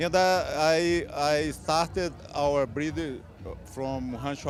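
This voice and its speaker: Over noticeable background noise, a man with a non-native accent speaks very slowly in a fairly high voice with lively intonation. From Brazil. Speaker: horse breeder. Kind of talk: interview. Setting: horse show. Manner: halting.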